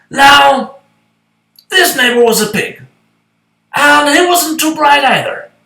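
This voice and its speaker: A put-on character voice with a high pitch. A slight echo is audible. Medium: read story. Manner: folksy, conversational, wry.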